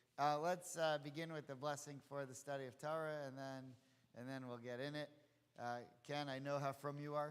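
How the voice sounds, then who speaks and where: A man at a fairly quick pace, fairly high in pitch, with monotone, flat intonation. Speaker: rabbi. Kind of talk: lecture. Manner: quiet, can't raise voice; halting.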